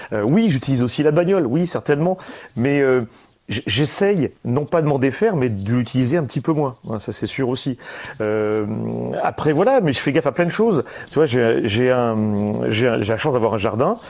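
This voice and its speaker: At a moderate pace, a man with a medium pitch and lively intonation speaks with long, frequent pauses. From Valence, Drôme, France. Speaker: radio host. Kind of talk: casual chat. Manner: halting, repeats words.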